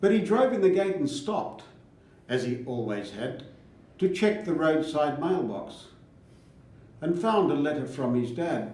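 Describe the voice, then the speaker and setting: In an Australian accent, a man with a fairly high pitch speaks fairly slowly, his pitch swinging very widely, with long, frequent pauses. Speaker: farmer. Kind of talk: poetry reading.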